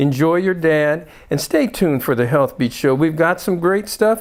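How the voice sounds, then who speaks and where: A man talks at a moderate pace in a normal speaking voice, on a very clean recording with a silent background. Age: 60s. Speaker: doctor and health show host. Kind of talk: show introduction.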